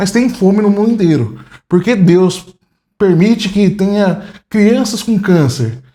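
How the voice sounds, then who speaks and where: With a dark, mellow tone and a high pitch, a man speaks at a fairly slow pace at very even loudness, with ordinary pitch variation. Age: 30s. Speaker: atheist interviewee. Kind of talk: casual interview. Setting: home apartment living room. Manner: halting.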